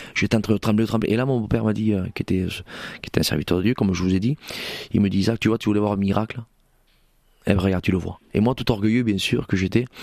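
In a very clean recording with a silent background and a dry, close sound with no echo, a man with a fairly low pitch talks at a very fast pace with fairly even intonation and long, frequent pauses. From Spanish Gitano community, southwest France. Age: 40s. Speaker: pastor. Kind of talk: testimony. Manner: halting, repeats words.

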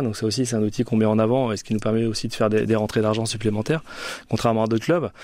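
Here a man speaks at medium pitch with fairly even intonation. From France, Orléans. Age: 40s. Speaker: rugby club director. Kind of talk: radio interview. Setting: studio.

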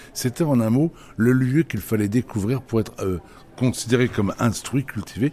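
Talking at a moderate pace, a man has a medium pitch, a dark, mellow tone and ordinary pitch variation. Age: 60s. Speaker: head gardener and radio columnist. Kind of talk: radio interview.

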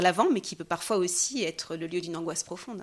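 A medium-pitched woman's voice with ordinary pitch variation, in a very clean recording with a silent background. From France. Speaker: consecrated religious sister. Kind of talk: interview on spirituality. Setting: recorded in Jerusalem. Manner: halting, many hesitations.

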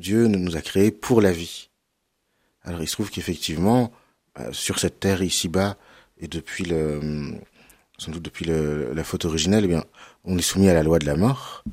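A man speaks in a very deep, low voice, leaving long, frequent pauses. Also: ordinary pitch variation, moderate pace, very clean recording, silent background. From western France (Cholet, Anjou). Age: 30s. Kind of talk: radio interview on theology.

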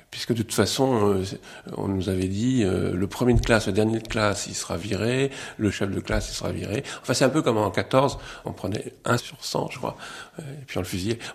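A man's fairly low voice at a moderate pace with ordinary pitch variation, over noticeable background noise. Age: 60s. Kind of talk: testimony.

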